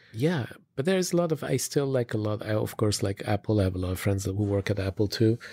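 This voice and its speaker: At a very fast pace, a man speaks in a fairly low pitch with lively intonation. His tone is dark and mellow, somewhat breathy, with a dry, close sound and no echo. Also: very clean recording, silent background. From Switzerland. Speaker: retail design executive. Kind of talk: interview. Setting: recorded on location. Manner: halting, many fillers.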